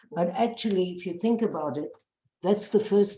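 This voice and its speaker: A woman with a South African accent, her tone dark and mellow, her pitch varying in an ordinary way. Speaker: bereaved mother and peace activist. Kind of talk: personal testimony talk.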